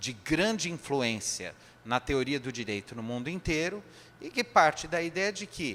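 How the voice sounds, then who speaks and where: The man talks at a fairly slow pace. His pitch swings very widely. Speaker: spiritist lecturer. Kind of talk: lecture.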